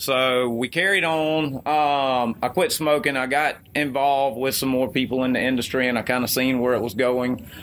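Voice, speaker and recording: A man in an Alabama accent, medium-pitched, with hardly any pauses, very even loudness and fairly even intonation. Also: moderate pace. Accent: Southern US (Alabama). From US South (Mobile, Alabama). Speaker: e-liquid company co-founder. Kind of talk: interview.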